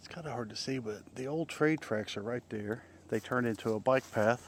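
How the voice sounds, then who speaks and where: A man's unremarkable speaking voice at medium pitch, with ordinary pitch variation, big swings in loudness and a fairly quick pace. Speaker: vlogger. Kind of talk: casual nature walk vlog. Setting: outdoors.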